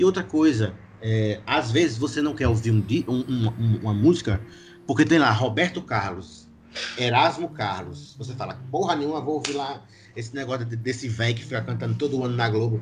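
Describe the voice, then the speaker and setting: A man's normal speaking voice at a medium pitch and moderate pace. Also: lively intonation. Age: 20s. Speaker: drummer in an indie band. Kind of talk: casual podcast interview.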